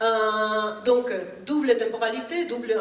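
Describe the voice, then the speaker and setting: Speaking very slowly with a Spanish accent, a woman with a fairly high pitch and ordinary pitch variation is heard with audible room echo and noticeable background noise. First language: Spanish (speaking French). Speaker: art historian and lecturer. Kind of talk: conference talk. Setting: conference with audience. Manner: halting, many hesitations.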